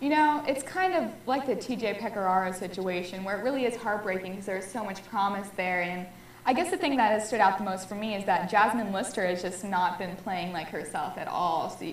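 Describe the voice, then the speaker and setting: A woman with a Californian accent speaks at medium pitch with ordinary pitch variation and hardly any pauses, with audible room echo and noticeable background noise. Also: fairly quick pace. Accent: Californian American English. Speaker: student sports show co-host. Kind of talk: casual sports talk show.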